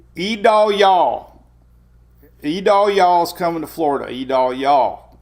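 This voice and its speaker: Putting on a playful character voice in a rural Southern US accent, a man drawls at a fairly slow pace with a high pitch and lively intonation. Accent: broad rural Southern US. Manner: exaggerated, playful.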